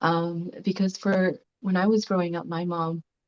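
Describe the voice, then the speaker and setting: A soft-spoken woman's fairly low voice at a very slow pace, with fairly even intonation and a dry, close sound with no echo. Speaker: class participant. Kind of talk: group discussion sharing.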